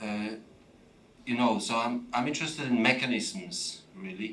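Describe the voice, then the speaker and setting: Audible room echo and noticeable background noise surrounding a man's voice. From Poland. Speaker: audience member at a talk. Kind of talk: audience question and answer. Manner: halting.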